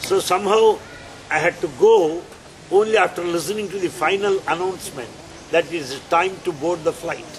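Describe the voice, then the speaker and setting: Over noticeable background noise, a man speaks fairly slowly in a high pitch with ordinary pitch variation. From India. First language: Telugu (speaking Spanish). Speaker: spiritual speaker. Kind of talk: spiritual talk.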